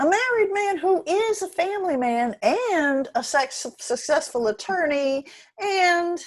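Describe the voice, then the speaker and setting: A woman performs a put-on character voice, squeaky and extremely high in pitch. It moves at a fairly slow pace with very wide pitch swings. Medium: stage play. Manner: blunt.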